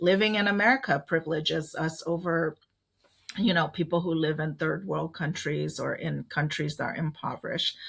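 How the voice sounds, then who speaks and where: Vocal fry runs through speech delivered at a fairly quick pace. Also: woman. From Laos, raised in Minnesota Hmong community. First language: Hmong. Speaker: community leader and advocate. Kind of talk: podcast interview. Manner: many fillers (um, uh, right?).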